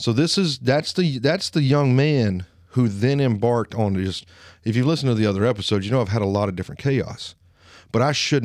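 A man speaks at a fairly quick pace with a medium pitch and lively intonation. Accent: Alabama. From Alabama, US South. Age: 30s. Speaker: podcast host. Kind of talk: solo monologue podcast, personal and casual.

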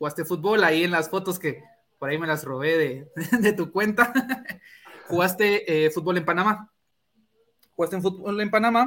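A man with a high-pitched voice and a bright, sharp tone speaks with ordinary pitch variation and long, frequent pauses. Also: moderate pace. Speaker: sports podcast host. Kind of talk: casual interview.

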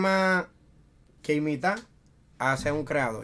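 A man with a Dominican accent speaks at a moderate pace in a fairly high pitch, with ordinary pitch variation, on a very clean recording with a silent background. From Dominican Republic, Santo Domingo. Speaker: freestyle rapper. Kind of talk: casual chat.

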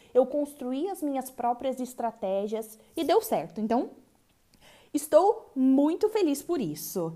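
A dark, mellow tone at a fairly slow pace. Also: woman. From Brazil. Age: 20s. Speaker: podcaster. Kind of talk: personal reflective monologue.

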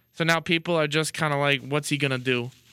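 A man talks in a fairly high pitch with a deadpan tone. The recording is very clean and dry, close with no echo and a silent background. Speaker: college radio sports co-host. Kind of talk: casual chat. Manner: deadpan, joking.

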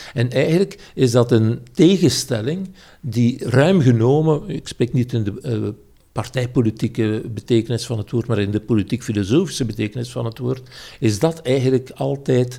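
Dark and mellow in tone, a man speaks in a somewhat breathy voice at a moderate pace, his pitch varying in an ordinary way. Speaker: political philosopher. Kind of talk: casual interview. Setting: at home, at a table. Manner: hesitant, frequent uh.

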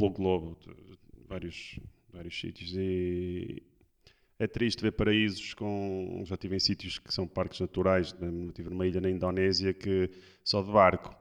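With long, frequent pauses, a man speaks fairly slowly in a monotone, flat intonation at a very deep, low pitch. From Porto, northern Portugal. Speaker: surf instructor. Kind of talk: casual chat.

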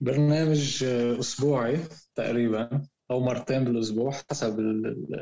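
A man's medium-pitched voice moves very slowly, its intonation fairly even. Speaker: podcast co-host, football fan. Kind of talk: casual chat. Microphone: connection sometimes cutting out.

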